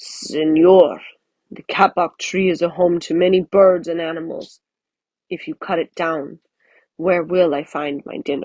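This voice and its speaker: Someone uses a put-on character voice with a growl in it. The pitch sits in the middle range and the pace is moderate. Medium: read story.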